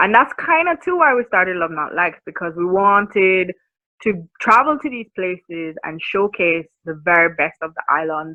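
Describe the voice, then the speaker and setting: A woman speaks with a Jamaican accent. Her pitch sits in the medium range. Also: lively intonation, moderate pace. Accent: Jamaican, maintained despite years abroad. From Jamaica, Kingston. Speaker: marketing consultant. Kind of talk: podcast interview.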